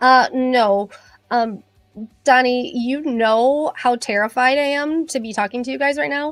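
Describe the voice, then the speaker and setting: A woman's high-pitched voice at a fairly slow pace, with music in the background. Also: ordinary pitch variation. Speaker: beauty industry professional. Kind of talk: livestream chat. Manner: hesitant, many fillers.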